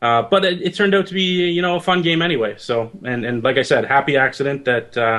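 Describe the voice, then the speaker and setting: A man's fairly high, very fast voice with lively intonation and a slight Canadian accent. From Canada, near Detroit. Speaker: indie game developer. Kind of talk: interview.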